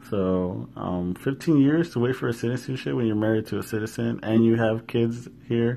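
An ordinary speaking voice with an American accent. The intonation is lively. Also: man. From US West Coast (Washington, California), Mexican family. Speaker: podcast host. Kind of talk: casual solo monologue. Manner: laughs often, many fillers.

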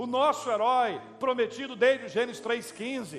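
A man with a Brazilian accent, fairly slow pace and fairly even intonation, over noticeable background noise. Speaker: preacher. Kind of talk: sermon. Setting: church. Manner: earnest, pastoral, persuasive; rising emphasis on repeated phrases, exhortative.

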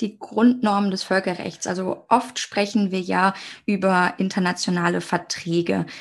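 At a fairly slow pace, a woman with medium pitch and fairly even intonation talks in an unremarkable speaking voice. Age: 20s. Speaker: international law student. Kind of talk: educational podcast conversation.

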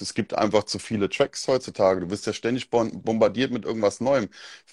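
A man with a Mainz accent talks at a fairly quick pace with ordinary pitch variation, in a very clean, dry, close recording with no echo and a silent background. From Germany, Mainz area. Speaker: DJ. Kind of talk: casual chat.

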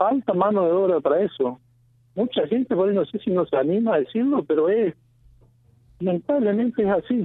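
A high-pitched man talks at a fairly quick pace with lively intonation and very even loudness, broken by long, frequent pauses. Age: 40s. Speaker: citrus farmer. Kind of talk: radio interview.

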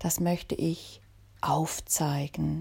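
A woman's somewhat breathy voice with a dark, mellow tone, on a very clean recording with a silent background. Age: 50s. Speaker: podcast host and author. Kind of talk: podcast monologue introduction.

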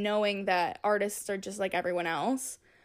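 Here a woman speaks at a moderate pace with an unremarkable speaking voice at medium pitch. The recording is very clean, with a silent background. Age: young. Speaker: singer-songwriter and music producer. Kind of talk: casual interview.

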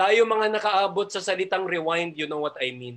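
Bright and sharp in tone, an animated man speaks at a high pitch and a fairly slow pace. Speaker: preacher leading online feast. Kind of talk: preaching, warm sermon. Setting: online Zoom and Facebook Live audience. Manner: animated, fervent, encouraging; mixes Taglish, conversational.

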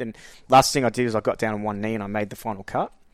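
A man with an Australian accent talks at a very fast pace in a fairly low, monotone, flat voice. The recording is very clean, with a silent background. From Queensland, Australia. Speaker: astrologer and spiritual coach. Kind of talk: casual interview conversation.

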